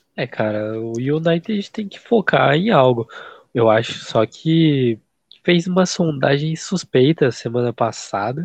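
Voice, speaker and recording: A man speaks at a very slow pace in a fairly high pitch, his loudness swinging widely and his pitch ranging very wide. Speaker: football podcast co-host. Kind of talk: casual chat.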